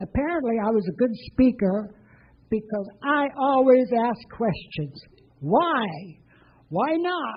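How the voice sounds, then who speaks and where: Speaking at a fairly slow pace, a woman uses a fairly high pitch with very wide pitch swings. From Bessarabia, ethnic German family. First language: German. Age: 80s+. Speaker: storyteller, former war refugee. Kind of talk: personal testimony to an audience.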